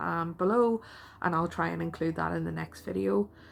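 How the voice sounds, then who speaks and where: A woman speaks with a Northern Irish accent. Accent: Northern Irish (Belfast). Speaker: artist and vlogger. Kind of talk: casual vlog talk. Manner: hesitant, with many fillers.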